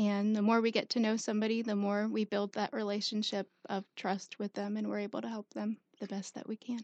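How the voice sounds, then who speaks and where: A woman with an American accent speaks at a fairly quick pace, her medium-pitched voice monotone and flat. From South Carolina. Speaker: homeless shelter case manager. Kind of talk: radio interview. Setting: radio studio.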